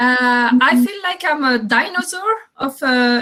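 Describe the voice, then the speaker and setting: A woman speaks with a French accent. Her pitch sits high. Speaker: entrepreneur. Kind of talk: panel discussion. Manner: halting.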